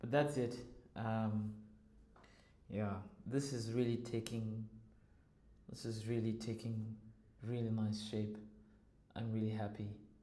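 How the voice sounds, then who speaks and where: A man speaks fairly slowly in a dark, mellow monotone with long, frequent pauses, and audible room echo surrounds him. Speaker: music producer and composer; music creator vlogger. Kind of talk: tutorial. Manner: halting. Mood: pleased, relaxed. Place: home room. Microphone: lapel.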